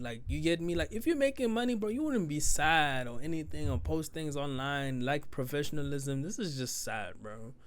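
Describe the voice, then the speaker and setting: A man's fairly high voice at a fairly quick pace, with very wide pitch swings, hardly any pauses and audible room echo. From South Africa. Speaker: reaction youtuber. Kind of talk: casual commentary. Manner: halting, many fillers. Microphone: new microphone, held in hand.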